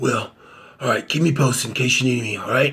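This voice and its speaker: A raspy put-on character voice moves at a fairly quick pace with fairly even intonation. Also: man. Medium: solo performance.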